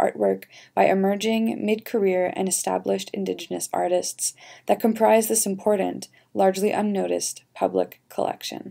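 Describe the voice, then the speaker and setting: At a moderate pace, a woman with a Canadian accent speaks on a very clean recording with a silent background. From Canada. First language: French and English. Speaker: audio guide narrator. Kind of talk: scripted narration. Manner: formal.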